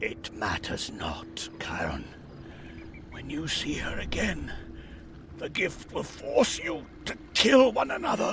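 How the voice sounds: Slowly and in a put-on character voice, a man speaks at a fairly high pitch with vocal fry, a fairly bright tone and very wide pitch swings.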